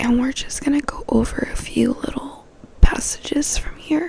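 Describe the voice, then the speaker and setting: A voice whispers at a fairly slow pace. Noticeable background noise can be heard throughout. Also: woman. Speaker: ASMR creator. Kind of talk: casual talk to camera intro. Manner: soft-spoken and whispered.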